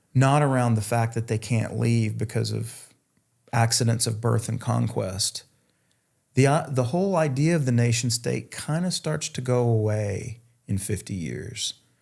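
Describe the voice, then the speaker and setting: A man with a Southern US accent speaks at a fairly slow pace with medium pitch and ordinary pitch variation. His voice is somewhat breathy, on a very clean recording with a silent background. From North Carolina, US South. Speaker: futurist and author. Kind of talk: interview conversation.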